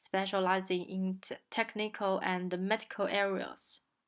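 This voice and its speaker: On a very clean recording with a silent background, a woman with a Chinese accent speaks at a very slow pace and medium pitch. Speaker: translation student. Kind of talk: recorded self-presentation. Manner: halting, many fillers.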